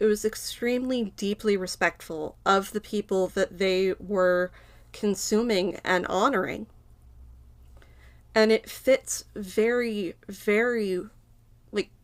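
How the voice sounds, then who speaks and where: A woman speaks at a very slow pace with fairly even intonation and long, frequent pauses. The recording is very clean, with a silent background. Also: medium pitch for a woman. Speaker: educational YouTuber. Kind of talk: informal educational monologue. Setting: small home filming space.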